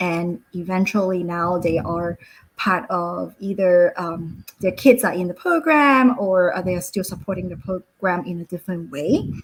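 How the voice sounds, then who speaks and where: A woman speaks with a Cantonese accent at a medium pitch. She uses ordinary pitch variation and hardly any pauses. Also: moderate pace. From Hong Kong. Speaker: school founder. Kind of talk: webinar presentation. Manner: halting, many fillers.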